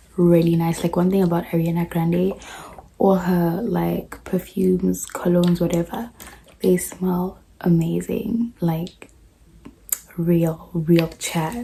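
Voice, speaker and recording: Over noticeable background noise, a woman with a fairly low pitch speaks at a very slow pace with fairly even intonation. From South Africa. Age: young. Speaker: au pair. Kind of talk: casual haul vlog to camera.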